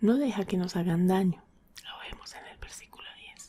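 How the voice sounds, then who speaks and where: A soft-spoken voice whispers. It moves at a fairly slow pace. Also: woman. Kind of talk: ASMR Bible devotional. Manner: soft-spoken, whispered.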